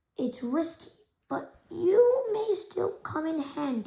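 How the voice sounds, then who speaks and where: Using a raspy put-on character voice, a woman speaks at an extremely high pitch and a fairly slow pace, with very wide pitch swings. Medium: read story. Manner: scheming.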